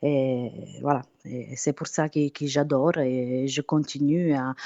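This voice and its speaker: A woman's very deep, low voice with an Italian accent at a very slow pace. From southern Italy, Apulia. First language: Italian (speaking French). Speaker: singer. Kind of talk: interview. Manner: halting.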